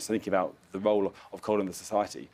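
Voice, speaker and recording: A man's fairly low, dark and mellow voice in a British accent. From UK. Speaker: climate finance expert. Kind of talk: panel discussion. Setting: live event at climate conference. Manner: hesitant, many fillers.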